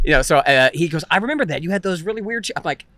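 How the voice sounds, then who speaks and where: A man speaks very fast in an American accent, with lively intonation. His pitch is fairly high, and noticeable background noise is present. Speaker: stand-up comedian. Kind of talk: casual chat. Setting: interview.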